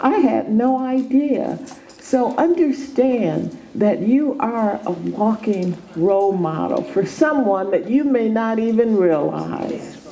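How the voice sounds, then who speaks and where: A woman with a fairly high voice and lively intonation speaks at a very slow pace, amid audible room echo and noticeable background noise. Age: 70s. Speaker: former health food store owner. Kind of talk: motivational talk.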